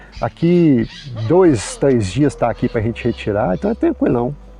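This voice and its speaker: A man's medium-pitched voice moves in very wide pitch swings. Noticeable background noise sits behind him. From Minas Gerais, Brazil. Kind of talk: casual chat answering viewer comments.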